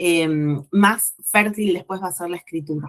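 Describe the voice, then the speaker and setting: Here a woman talks at a medium pitch with ordinary pitch variation. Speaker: writing teacher. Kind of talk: lecture. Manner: slow.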